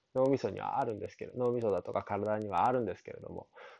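Against a quiet background, a man speaks at medium pitch in a dark, mellow tone. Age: 30s. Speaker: consultant. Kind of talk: solo podcast monologue. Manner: casual, filler-heavy.

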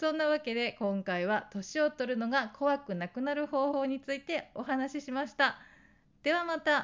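The voice belongs to a woman and is high-pitched. She speaks at a moderate pace. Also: ordinary pitch variation. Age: 40s. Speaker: lifestyle YouTuber. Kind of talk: casual monologue.

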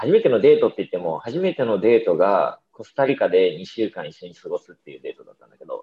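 The man talks at a very fast pace with hardly any pauses. His loudness swings a lot. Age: 30s. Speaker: podcast host. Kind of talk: casual chat.

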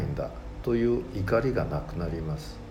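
A man talks with lively intonation at a moderate pace, his voice carrying audible room echo and noticeable background noise. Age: 60s. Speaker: mentor and author. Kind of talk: reading aloud. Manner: formal.

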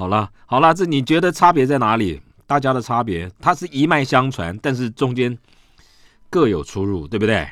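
With vocal fry and very wide pitch swings, a man speaks at a medium pitch and moderate pace on a very clean recording with a silent background. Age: 60s. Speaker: radio host. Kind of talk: casual chat.

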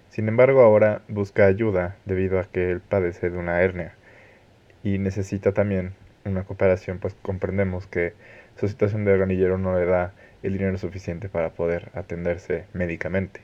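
A man talks in a very deep, low voice. His pace is fairly quick and his intonation is monotone and flat. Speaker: podcast host. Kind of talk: interview. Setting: phone call.

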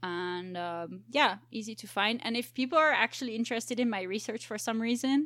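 A woman with an ordinary speaking voice talks at a moderate pace in a fairly high pitch, with ordinary pitch variation. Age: 20s. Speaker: biologist. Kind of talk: casual chat.

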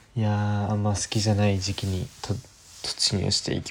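Noticeable background noise sits behind the voice. A man speaks at a moderate pace in a fairly low pitch. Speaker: podcaster. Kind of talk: casual solo monologue. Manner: hesitant, many fillers.

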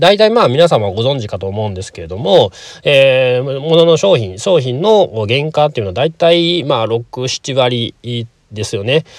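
A man with a medium-pitched voice talks at a moderate pace, with very wide pitch swings and big swings in loudness. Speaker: hair salon owner. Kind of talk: casual monologue. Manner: halting, many fillers.

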